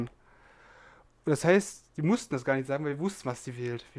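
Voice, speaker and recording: Fairly high in pitch yet dark and mellow in tone, a man's voice moves at a fairly quick pace in a very clean recording with a silent background. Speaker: podcast co-host. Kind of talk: casual chat.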